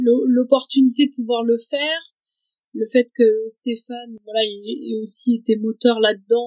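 This woman has a fairly high pitch and talks at a very slow pace with fairly even intonation. The sound is dry and close, with no echo. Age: 30s. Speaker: hiker and mother of two. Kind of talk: interview, personal story. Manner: halting, many hesitations.

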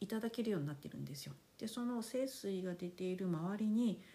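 A woman's voice, medium in pitch and dark and mellow in tone, somewhat breathy, with lively intonation at a fairly quick pace. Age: 50s. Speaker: podcast host. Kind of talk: casual monologue. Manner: polite, relaxed.

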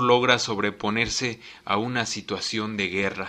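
A man's bright, sharp voice at a medium pitch, delivered at a fairly slow pace. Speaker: radio host. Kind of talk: radio talk show.

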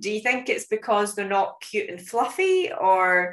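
Fairly high-pitched, a woman speaks in a Scottish accent with lively intonation. Her pace is moderate, and the background is quiet. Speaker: podcast host and conservation educator. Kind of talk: casual interview chat.

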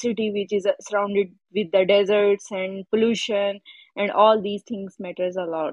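A woman with a medium pitch talks in a monotone, flat intonation, keeping a moderate pace. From Pakistan. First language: not English. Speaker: caller. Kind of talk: casual chat seeking advice. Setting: live audio room. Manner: halting.

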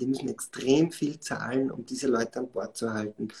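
His voice is medium in pitch, dark and mellow in tone, and somewhat breathy. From Austria, Styria (Schladming). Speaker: startup founder and CEO. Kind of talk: live podcast interview. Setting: live online stream. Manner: many filler sounds and self-corrections.

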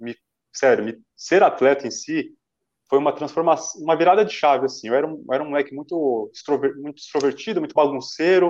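In an ordinary speaking voice, a man talks at a fairly quick pace and fairly high pitch, with ordinary pitch variation and big swings in loudness. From Brazil, Santo André (São Paulo). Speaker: runner, former track athlete. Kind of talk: interview on live stream. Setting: live online stream.

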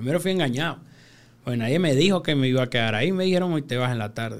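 This man talks at a very fast pace with lively intonation. His speech is broken by long, frequent pauses. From Venezuela (Caracas hillside barrio). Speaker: freestyle rapper. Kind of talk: casual interview.

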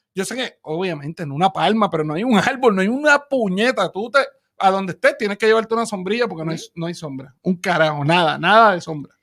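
On a very clean recording with a silent background, the speaker races along at a very fast pace with lively intonation and big swings in loudness. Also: man, high pitch for a man. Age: 30s. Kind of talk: casual chat. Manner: animated.

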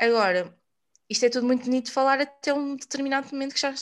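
Speaking at a very fast pace, a woman uses a high pitch with ordinary pitch variation. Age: 20s. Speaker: podcast host on personal development. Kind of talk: casual chat.

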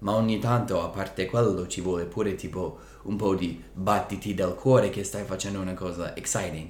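A man with an American accent sounds somewhat breathy. He keeps a moderate pace. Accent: American-accented Italian. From United States. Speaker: language-learning podcast co-host. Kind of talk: casual chat. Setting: indoors, evening on a couch.

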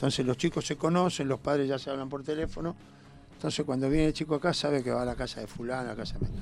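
A man at a very fast pace, fairly high in pitch, with fairly even intonation. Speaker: youth basketball coach. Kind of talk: radio interview.

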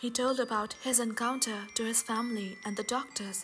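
Music plays in the background as a woman speaks. She has a fairly high pitch and a moderate pace. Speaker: podcast storyteller. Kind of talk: ghost story telling, scripted horror narration.

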